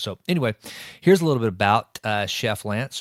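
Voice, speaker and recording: A man with an East Texas accent at a moderate pace, recorded dry and close with no echo in a very clean recording with a silent background. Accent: East Texas Southern US. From East Texas, Sulphur Springs. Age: 40s. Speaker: podcast host. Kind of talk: podcast introduction. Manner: loud; casual with many uh fillers.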